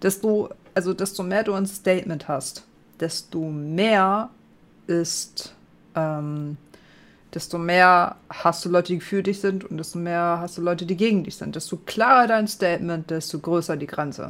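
A woman speaks at a fairly slow pace in a fairly low pitch with ordinary pitch variation. It is a normal speaking voice. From northern Germany. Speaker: gaming streamer. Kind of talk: casual chat.

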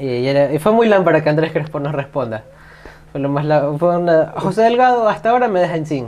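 Amid noticeable background noise, a man talks with lively intonation at a fairly quick pace and a fairly high pitch. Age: 20s. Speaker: podcast guest. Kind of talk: casual chat.

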